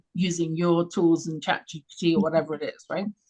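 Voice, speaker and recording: The speaker is a woman. She has a London accent. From England, London. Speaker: radio show host, confidence coach. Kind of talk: interview. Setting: live radio stream.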